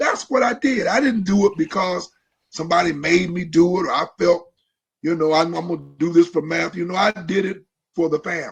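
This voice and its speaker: A man's high-pitched voice with an American accent, ordinary pitch variation and a fairly quick pace. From Ohio. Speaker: pastor. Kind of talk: casual chat. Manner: repetitive, halting.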